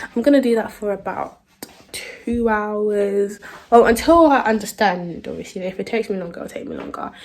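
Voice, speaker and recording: A woman with a British accent talks at a moderate pace, her fairly high voice showing ordinary pitch variation. Her loudness swings widely, and noticeable background noise runs underneath. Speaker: student vlogger. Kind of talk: casual vlog. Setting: outdoors in the rain. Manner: casual, chatty.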